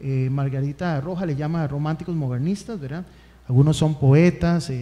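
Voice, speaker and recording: A man with a Costa Rican accent talks at a moderate pace, his tone dark and mellow and his pitch variation ordinary. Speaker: history tutor; radio guest or host. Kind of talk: lecture. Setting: stage with audience. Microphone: studio mic.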